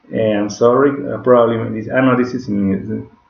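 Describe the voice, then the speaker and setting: A man with a Spanish accent. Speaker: digital marketing instructor. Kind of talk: tutorial. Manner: halting, with frequent self-corrections.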